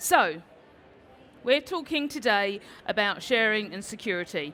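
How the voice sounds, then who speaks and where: A woman speaks in an enthusiastic tone with a British accent. Her fairly high voice moves with lively intonation. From London, England. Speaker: Salesforce instructor and conference speaker. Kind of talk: conference talk. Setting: stage with audience.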